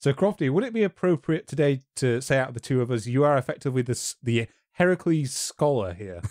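In a very clean recording with a silent background and a dry, close sound with no echo, a man talks fairly quickly in a normal speaking voice with lively intonation. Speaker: history YouTuber and podcast host. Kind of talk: casual chat.

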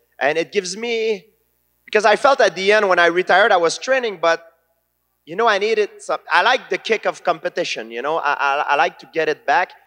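A man speaks in a raised, projected voice at a fairly quick pace. The background is quiet. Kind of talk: interview answer. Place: stage. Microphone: handheld.

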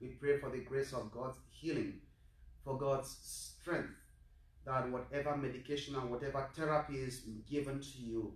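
Heard with audible room echo, a man talks at a moderate pace in a somewhat breathy, monotone voice with flat intonation. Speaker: priest celebrating Mass. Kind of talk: liturgical address and prayer. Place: church. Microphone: camera far.

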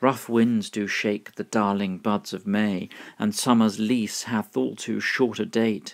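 Over a very clean recording with a silent background, a man talks at a fairly slow pace in a fairly low pitch. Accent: British. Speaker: English pronunciation teacher. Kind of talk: poetry reading.

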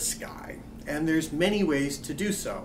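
Over noticeable background noise, a man speaks with a fairly high pitch. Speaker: astronomy lecturer. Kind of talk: college lecture narration. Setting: quiet room. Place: office.

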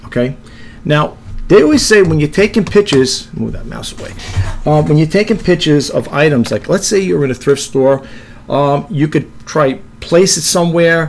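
Ordinary pitch variation from a man, with music in the background. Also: moderate pace. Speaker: reseller demonstrating an app. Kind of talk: tutorial. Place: home room. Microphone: webcam.

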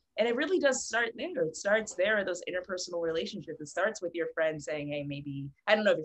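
Over a quiet background, a woman with an American accent talks at a fairly quick pace with lively intonation. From Philadelphia, US. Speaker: multi-disciplinary artist; guest. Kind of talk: casual chat. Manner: halting. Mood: earnest, animated. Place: home room. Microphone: video call.

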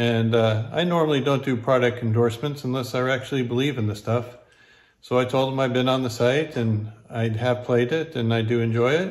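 The speech moves at a moderate pace with ordinary pitch variation and a quiet background. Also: man. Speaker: poker vlogger. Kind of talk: casual vlog chat, sponsor mention. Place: home room. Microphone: phone near.

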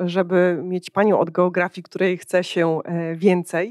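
Someone speaks at a very slow pace, the sound dry with no echo and the background quiet. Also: woman. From Poland. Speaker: podcast host and company founder; podcast host. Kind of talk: interview, podcast host. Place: hall. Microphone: handheld.

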